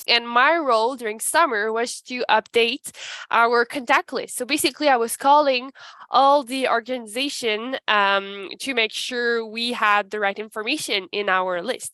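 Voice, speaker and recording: A woman speaks with a Quebec accent, recorded with a dry, close sound and no echo. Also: ordinary pitch variation, moderate pace. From Canada, Ottawa-Gatineau region. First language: French. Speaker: human resources advisor. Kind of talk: panel presentation. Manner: halting.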